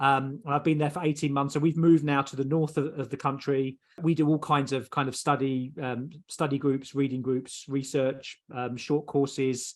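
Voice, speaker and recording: A man with a southeast English accent, fairly high in pitch, fairly quick, with fairly even intonation. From southeast England. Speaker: theologian. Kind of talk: interview. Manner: halting.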